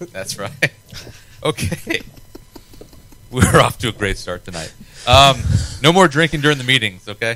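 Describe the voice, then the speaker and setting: Amid noticeable background noise, a man at a medium pitch speaks at a moderate pace with lively intonation, big swings in loudness and long, frequent pauses. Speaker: podcast host. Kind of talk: casual chat. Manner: slurred.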